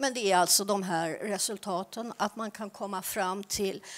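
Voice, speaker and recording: Her intonation stays fairly even as the woman talks at a fairly slow pace. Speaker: archaeology researcher and lecturer; lecturer. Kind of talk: conference presentation. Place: hall. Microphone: handheld.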